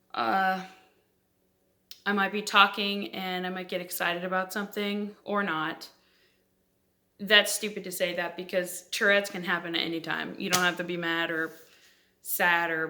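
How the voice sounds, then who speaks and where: Her tone bright and sharp, a woman speaks at a moderate pace with a medium pitch and fairly even intonation. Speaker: vlogger. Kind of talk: casual vlog talk to camera. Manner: voice spikes and vocal tics from Tourette's; halting, with fillers and self-laughter.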